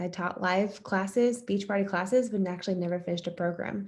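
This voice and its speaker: Speaking at a fairly quick pace, a woman with an American accent has a medium pitch. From US East Coast. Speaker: fitness coach. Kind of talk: testimony.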